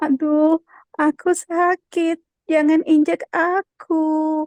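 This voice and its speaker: A woman's squeaky, put-on character voice at an extremely high pitch and a very slow pace. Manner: pained, pleading.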